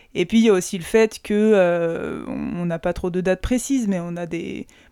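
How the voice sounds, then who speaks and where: A woman of medium pitch speaks with fairly even intonation and a dark, mellow tone on a very clean recording with a silent background. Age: 30s. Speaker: doctor. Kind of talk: casual chat.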